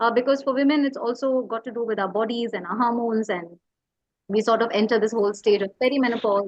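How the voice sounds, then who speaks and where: Very fast and fairly even in intonation, a woman speaks at a fairly high pitch in a Tamil Indian accent. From India, Tamil Nadu. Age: 40s. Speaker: writer and educator. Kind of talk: interview conversation. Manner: hesitant, many fillers.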